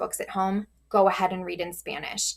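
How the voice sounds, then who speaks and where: At a moderate pace, a woman talks in an unremarkable speaking voice at medium pitch. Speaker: teacher. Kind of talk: tutorial.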